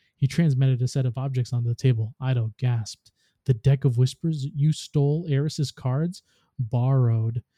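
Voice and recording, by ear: Reading aloud in a natural voice, quiet background.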